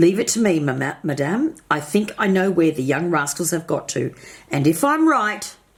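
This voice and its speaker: A woman puts on a raspy character voice at a fairly low pitch. She speaks at a moderate pace. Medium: read story. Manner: brisk, commanding.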